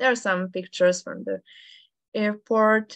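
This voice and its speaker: In a Serbian accent, a woman speaks with fairly even intonation. The sound is dry and close with no echo, over a quiet background. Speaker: amateur radio operator. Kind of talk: presentation. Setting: video call. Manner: halting.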